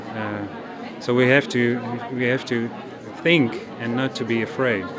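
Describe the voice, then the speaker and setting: A man of medium pitch at a fairly slow pace, monotone and flat in intonation, with audible room echo and crowd noise in the background. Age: 30s. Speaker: dentist. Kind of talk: testimony. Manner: halting, repeating words.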